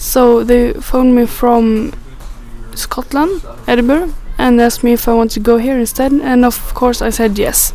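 Over noticeable background noise, a woman with a Swedish accent speaks at a high pitch and a moderate pace, with ordinary pitch variation. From northern Sweden. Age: 20s. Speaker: international student. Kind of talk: recorded monologue interview.

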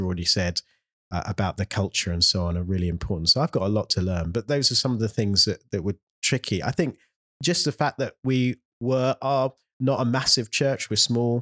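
With a London accent, a man talks fairly quickly in a fairly low voice with lively intonation, recorded very cleanly against a silent background with a dry, close sound and no echo. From London (south, near Morden). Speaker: mission agency director and church planter. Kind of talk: interview conversation. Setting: office building in central London.

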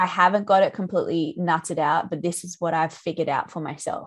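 A woman with an Australian accent, fairly low in pitch, at a fairly quick pace with ordinary pitch variation, against a quiet background. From central Australia. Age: 30s. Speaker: musician and sound healing teacher. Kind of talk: casual interview chat. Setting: video call.

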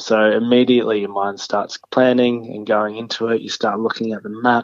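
A man's medium-pitched voice with an American accent, monotone and flat, at a fairly quick pace. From Australia, Sunshine Coast (Queensland). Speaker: adventurer and long-distance walker. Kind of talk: interview.

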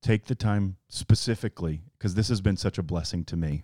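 In a Southern US accent, a man speaks with a very deep, low pitch, a dark, mellow tone and ordinary pitch variation, the sound dry and close with no echo on a very clean recording with a silent background. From Alabama. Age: 40s. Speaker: pastor. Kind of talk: casual chat.

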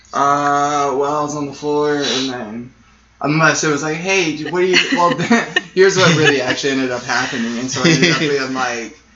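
Audible room echo around a man's voice pitched fairly high. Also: ordinary pitch variation, moderate pace. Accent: American. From Arizona (Sierra Vista). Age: 20s. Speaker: musician. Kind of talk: casual interview.

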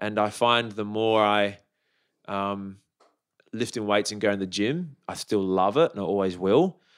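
This speaker has an Australian accent. The pace is fairly slow. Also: man, fairly low pitch for a man, ordinary pitch variation. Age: 40s. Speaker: fitness enthusiast and teacher. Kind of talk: casual chat.

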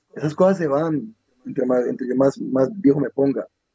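Here a man speaks with a fairly high pitch. His pace is fairly quick and his pitch variation ordinary. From Colombia. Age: 30s. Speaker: MMA fighter. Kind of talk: interview. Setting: lying in bed in his room. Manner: halting, repeats words.

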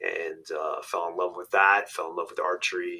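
A man with a New York accent at a moderate pace. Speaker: hunting outfitter and podcaster. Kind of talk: interview.

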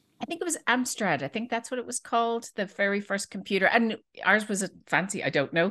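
A woman's bright, sharp voice with a Dublin accent, fairly high in pitch, with lively intonation and a fairly quick pace, against a quiet background. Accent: Dublin Irish. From Ireland, Dublin. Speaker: database product manager. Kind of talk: casual interview chat.

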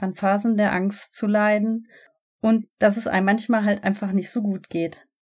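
A woman with an unremarkable speaking voice talks at a moderate pace. The recording is very clean, with a silent background. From Germany, Ruhr area (Gelsenkirchen). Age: 30s. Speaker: podcast host, relaxation instructor. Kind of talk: podcast intro monologue.

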